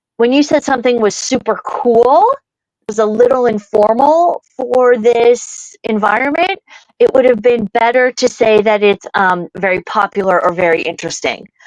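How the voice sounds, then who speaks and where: In a dry, close sound with no echo, a woman with an American accent talks at a moderate pace. Her pitch is fairly high, her tone animated, and her intonation lively. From US Midwest, rural Ohio. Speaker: comedian and speaker. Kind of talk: casual interview chat.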